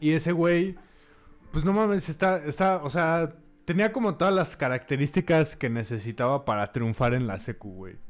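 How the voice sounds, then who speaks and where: At a moderate pace, a man with a fairly high pitch talks in very wide pitch swings. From Mexico, Puebla. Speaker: podcast co-host. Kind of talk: casual chat.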